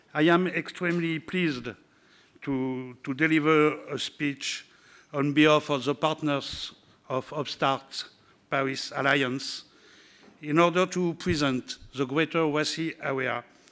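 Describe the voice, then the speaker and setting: Speaking fairly slowly, a man with a French accent has a fairly high pitch and fairly even intonation. The recording is very clean, with a silent background. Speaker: regional politician. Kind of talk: conference speech. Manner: halting.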